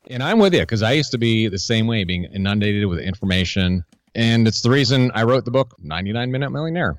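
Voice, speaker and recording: At a very fast pace, a man with an American accent speaks at a medium pitch with lively intonation. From western Massachusetts. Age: young. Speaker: personal finance author and radio host. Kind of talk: interview.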